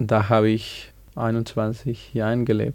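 At a very slow pace, a man with a Spanish accent speaks in a dark, mellow tone. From Bolivia, small village. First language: Spanish (speaking German). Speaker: music student. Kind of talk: radio interview. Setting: studio. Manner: halting.

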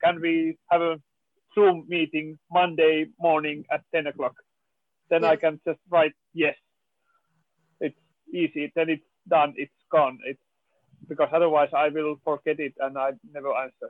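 Long, frequent pauses break up a man's speech in a Finnish accent. He talks at a fairly slow pace with monotone, flat intonation. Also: fairly high pitch for a man. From Finland. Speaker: film producer. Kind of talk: panel discussion.

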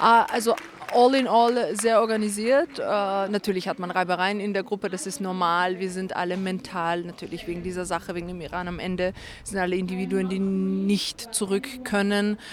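A woman's medium-pitched voice moves at a moderate pace with fairly even intonation. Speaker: activist. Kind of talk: rally speech then interview answers. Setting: outdoors at protest vigil. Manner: formal, earnest, passionate.

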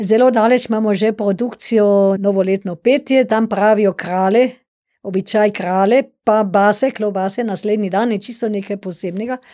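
Against a silent background in a very clean recording, a woman speaks at medium pitch with a dark, mellow tone and fairly even intonation. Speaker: dialectologist and professor. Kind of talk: radio interview. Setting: studio.

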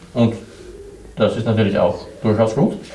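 A man with a Swedish accent speaks at a fairly slow pace, with audible room echo and noticeable background noise. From southern Sweden. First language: Swedish (speaking German). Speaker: blind exhibition guide team leader. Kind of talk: interview. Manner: halting, many hesitations.

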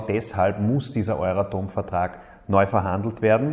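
This is a man with an ordinary speaking voice at medium pitch. He talks at a fairly slow pace with ordinary pitch variation. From Upper Austria, Mühlviertel. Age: 30s. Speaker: politician, state minister. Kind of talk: recorded statement.

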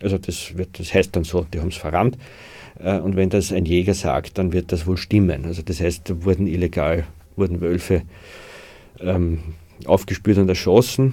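Very deep and low, a man's voice has a dark, mellow tone and a somewhat breathy quality. He speaks with fairly even intonation and long, frequent pauses. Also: moderate pace. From Austria, Waldviertel (Lower Austria). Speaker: author and forest conservationist. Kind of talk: interview. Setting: studio.

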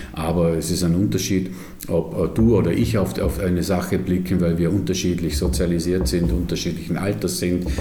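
A man with a very deep, low voice speaks at a moderate pace with ordinary pitch variation and very even loudness, with noticeable background noise and audible room echo. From Vorarlberg, Austria. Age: 50s. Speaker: museum director. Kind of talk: interview. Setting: his office.

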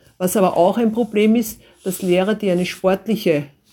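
On a very clean recording with a silent background, a woman speaks at a medium pitch with a dark, mellow tone, somewhat breathy, at a moderate pace with ordinary pitch variation. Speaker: school principal. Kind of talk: interview answers.

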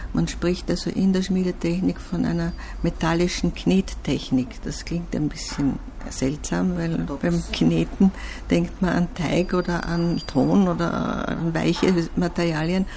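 Noticeable background noise accompanies a woman who talks very slowly. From Austria. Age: 70s. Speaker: artist. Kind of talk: interview.

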